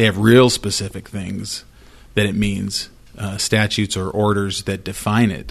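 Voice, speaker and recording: Using an ordinary speaking voice, a man with an American accent talks at a fairly low pitch. He keeps a moderate pace and fairly even intonation. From Idaho, US. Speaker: employment lawyer. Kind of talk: casual chat.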